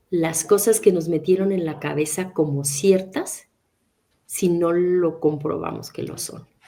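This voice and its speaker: Fairly low for a woman, her voice has a dark, mellow tone and fairly even intonation at a very slow pace. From Mexico. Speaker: interpreter and translator. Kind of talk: interview.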